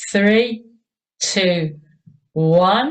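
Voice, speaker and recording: A woman with an English accent speaks in an energetic tone. Her voice is somewhat breathy, with ordinary pitch variation. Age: 60s. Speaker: fitness instructor. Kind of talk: exercise class instruction. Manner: encouraging, energetic.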